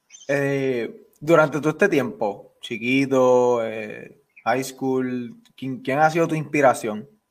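At a very slow pace, a man talks in a medium pitch. His pitch variation is ordinary. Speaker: sports podcast host. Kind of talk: casual interview.

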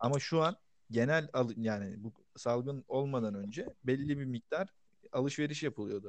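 This is a man with a normal speaking voice. He talks at a moderate pace with ordinary pitch variation. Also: medium pitch for a man. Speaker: podcast co-host. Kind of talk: casual chat. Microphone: distant, too far from mic.

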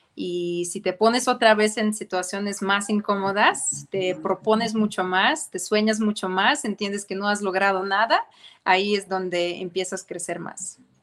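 A woman with an unremarkable speaking voice, medium pitch, fairly even intonation and a fairly slow pace. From Ukraine. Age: young. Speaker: fashion designer and entrepreneur. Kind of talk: interview.

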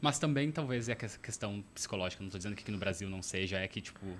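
A man's fairly low voice with a bright, sharp tone, at a very fast pace with ordinary pitch variation. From southern Brazil, Porto Alegre area. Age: 30s. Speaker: traveler and former exchange student. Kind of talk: casual interview chat. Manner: hesitant, many fillers.

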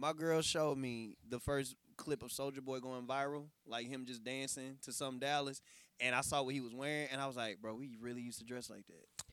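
Speaking at a fairly quick pace in a medium pitch, a man has a plain, everyday voice, an American accent and fairly even intonation. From Texas. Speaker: clothing designer. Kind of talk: casual chat.

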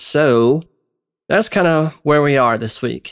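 With ordinary pitch variation, a man keeps a moderate pace. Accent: Southern US. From US South, Georgia. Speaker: podcast host. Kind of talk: casual commentary. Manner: conversational, filler-heavy.

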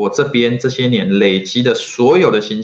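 Speaking fairly slowly in an ordinary speaking voice, a man at medium pitch uses ordinary pitch variation. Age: 40s. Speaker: marketing consultant and entrepreneur. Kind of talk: solo vlog talk to camera. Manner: filler-heavy, casual with frequent 哈.

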